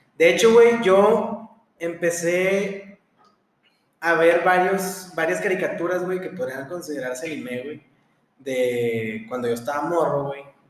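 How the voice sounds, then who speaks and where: Speaking at a fairly slow pace in a room with audible echo, a man with a high pitch uses lively intonation and big swings in loudness. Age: 20s. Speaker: podcast host, medical student. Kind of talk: casual chat.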